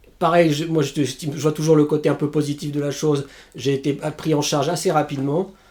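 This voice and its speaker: A man's dark, mellow tone at a fairly high pitch. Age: 40s. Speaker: stroke survivor, civil servant. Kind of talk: testimony. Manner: halting, with repetitions.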